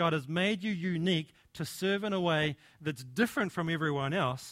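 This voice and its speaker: A man at a moderate pace in a dry, close sound with no echo. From New Zealand. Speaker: preacher. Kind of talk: sermon. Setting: church.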